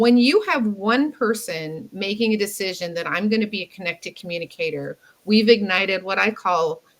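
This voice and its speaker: A woman with an unremarkable speaking voice talks in an American accent at a medium pitch. Her pace is moderate and her pitch varies in an ordinary way. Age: 60s. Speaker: communication mentor. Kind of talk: interview conversation.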